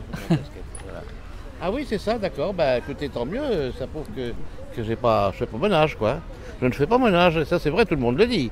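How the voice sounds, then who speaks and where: The voice swings very widely in pitch, broken by long, frequent pauses. Noticeable background noise sits under the speech. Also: man, fairly high pitch for a man, fairly quick pace. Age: 80s. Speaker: elderly interviewee. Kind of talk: street interview.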